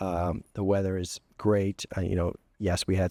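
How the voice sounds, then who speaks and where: Dry and close with no echo, the sound carries a man's dark, mellow tone. He talks at a moderate pace in a very clean recording with a silent background. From New England, Maine. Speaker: college chancellor. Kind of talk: interview.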